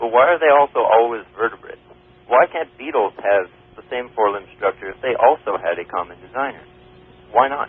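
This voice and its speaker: A man with a normal speaking voice talks at a fairly quick pace and medium pitch. His intonation is lively, and his loudness swings a lot. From Canada. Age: young. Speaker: evolution graduate student. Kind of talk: radio call-in debate. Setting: phone line.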